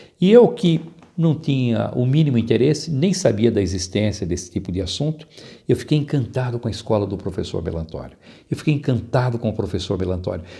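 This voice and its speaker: Lively intonation marks a man speaking at a fairly quick pace and medium pitch. His tone is dark and mellow, and somewhat breathy. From interior of São Paulo state, Brazil (Araraquara). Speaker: public speaking teacher and author. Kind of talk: interview.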